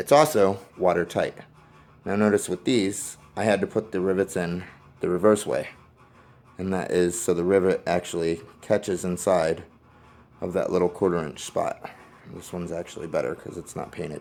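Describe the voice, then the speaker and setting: A man's voice sits very deep and low, with fairly even intonation. He keeps a moderate pace but leaves long, frequent pauses. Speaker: firearms hobbyist YouTuber. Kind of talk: tutorial. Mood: relaxed, candid. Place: garage. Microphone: phone near.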